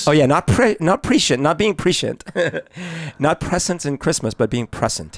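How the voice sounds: At a moderate pace, a man with a slight non-native accent speaks in a fairly high voice with very wide pitch swings, the sound dry and close with no echo. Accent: slight foreign accent on S and Z sounds.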